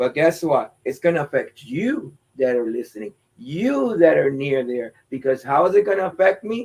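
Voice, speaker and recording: This man's voice is fairly high in pitch and moves at a moderate pace. His pitch swings very widely. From Pennsylvania, Lancaster County (Puerto Rican family). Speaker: former teacher and community activist. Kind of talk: interview on local politics.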